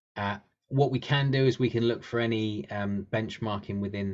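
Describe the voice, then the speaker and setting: In a British accent, a man speaks at a fairly low pitch with ordinary pitch variation. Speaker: webinar presenter for finance software. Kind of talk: webinar presentation. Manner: fast; hesitant, many fillers and repeats.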